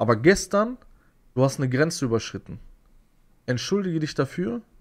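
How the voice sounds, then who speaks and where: The man's speech shows ordinary pitch variation, and the background is quiet. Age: 30s. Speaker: YouTuber. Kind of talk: video rant; casual monologue storytelling. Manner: agitated, repetitive. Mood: aggrieved, indignant. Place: home room. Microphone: studio mic.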